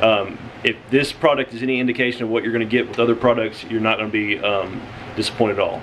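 Monotone, flat intonation from a man, over light background noise. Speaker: family vlogger. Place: home room. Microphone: phone near.

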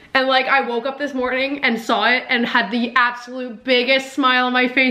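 A woman with a high voice talks at a moderate pace over noticeable background noise. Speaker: YouTuber. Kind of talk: casual vlog reaction. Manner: animated.

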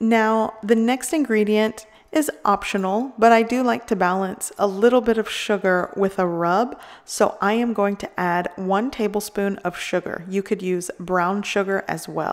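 A woman speaks at a fairly slow pace with ordinary pitch variation against a quiet background. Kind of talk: cooking tutorial. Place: kitchen.

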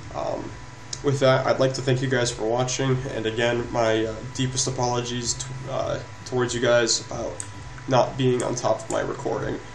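Flat, monotone speech from a man at medium pitch and moderate pace, with noticeable background noise. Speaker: gaming YouTuber. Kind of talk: gameplay commentary. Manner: hesitant, filler-heavy.

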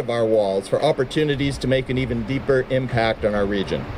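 Moderate-paced speech over light background noise. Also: man. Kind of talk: formal prepared speech. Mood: proud, upbeat. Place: street. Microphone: podium.

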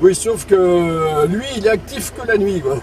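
The pace is very slow. The sound is dry with no echo, over light background noise. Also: man. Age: 50s. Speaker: CB radio operator. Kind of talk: casual radio chat. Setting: CB radio transmission, in a car. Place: car.

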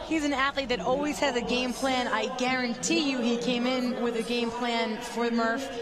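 Over crowd noise in the background, a woman with a high pitch talks at a moderate pace in a monotone, flat intonation, her loudness very even and hardly any pauses between words. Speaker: color commentator. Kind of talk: live sports commentary. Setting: broadcast booth. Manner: explanatory, conversational analysis.

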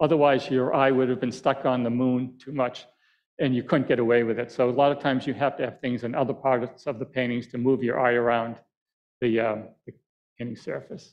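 A man speaks with an American accent and monotone, flat intonation. The background is quiet. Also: fairly quick pace. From Boston area, Massachusetts (Quincy); Massachusetts. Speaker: landscape painter. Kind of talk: lecture with painting demo. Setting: auditorium with live audience. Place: hall.

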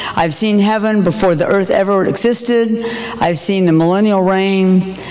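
A woman speaks at a medium pitch with ordinary pitch variation, amid noticeable background noise and audible room echo. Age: 60s. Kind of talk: sermon-style testimony.

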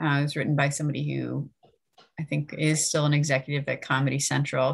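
The background is quiet as a woman speaks at a moderate pace. Her pitch is very deep and low. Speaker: library event host. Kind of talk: event introduction and Q&A moderation. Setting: video call. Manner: halting, many fillers. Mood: friendly, relaxed. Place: home room. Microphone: webcam.

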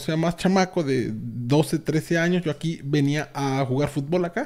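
A man talks in a dark, mellow tone. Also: quiet background. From Mexico, Veracruz (Mariano Escobedo, near Orizaba); Veracruz, Mexico. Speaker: gaming youtuber; streamer. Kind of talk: casual video tour. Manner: halting, repetitive. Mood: nostalgic, relaxed. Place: home room.

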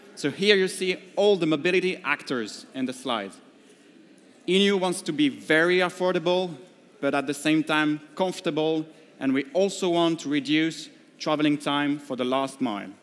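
The man speaks at a moderate pace, with ordinary pitch variation. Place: hall. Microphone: headset.

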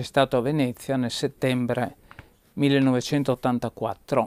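Monotone, flat intonation marks this man's fairly high voice. The sound is dry with no echo. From Trieste, northeastern Italy; northeastern Italy. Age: 70s. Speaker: anarchist activist and researcher; interviewee. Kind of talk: interview recollection. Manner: halting. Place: home room.

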